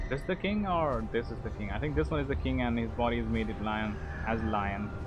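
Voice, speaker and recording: A man with an Indian accent at a fairly quick pace, with audible room echo and music in the background. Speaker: gaming streamer. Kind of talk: live stream commentary. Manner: casual.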